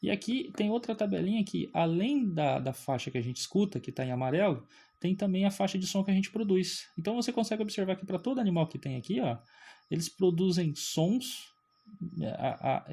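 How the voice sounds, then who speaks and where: A man speaks with a dark, mellow tone at a high pitch. His intonation is lively and his pace fairly quick. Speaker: physics teacher. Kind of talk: lecture. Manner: animated.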